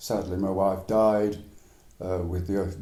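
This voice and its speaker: With an English accent, a man speaks fairly slowly in a dark, mellow tone with audible room echo. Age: 80s+. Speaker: retired man, cancer survivor. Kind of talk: interview, life story.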